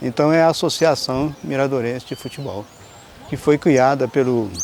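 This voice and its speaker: A man speaks moderately paced at a medium pitch, varying it in an ordinary way, while noticeable background noise fills the recording. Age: 60s. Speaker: local resident interviewee. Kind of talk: documentary interview. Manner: halting.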